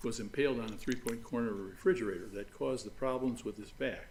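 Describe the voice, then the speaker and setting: A man talks at a fairly quick pace. There is audible room echo around his voice. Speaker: lawyer. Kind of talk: courtroom oral argument. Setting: large courtroom. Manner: halting, many fillers; quiet.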